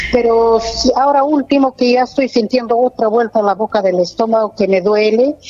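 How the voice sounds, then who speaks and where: A woman talks at a moderate pace in a fairly high pitch, with hardly any pauses and very even loudness. Her intonation is fairly even, and background noise is noticeable. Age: 70s. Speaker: caller. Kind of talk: phone-in question. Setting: phone call. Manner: halting.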